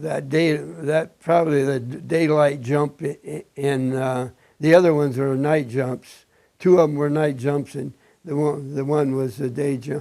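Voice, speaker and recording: Here a man speaks with a Midwestern American accent at a fairly high pitch. His tone is dark and mellow, and his intonation is fairly even. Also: fairly slow pace. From Indiana. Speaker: war veteran. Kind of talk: oral history interview. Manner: halting.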